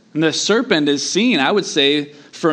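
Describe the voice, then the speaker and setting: A man's fairly high voice with an American accent, lively intonation, and a fairly slow pace, in audible room echo. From US Southeast. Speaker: pastor. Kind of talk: sermon.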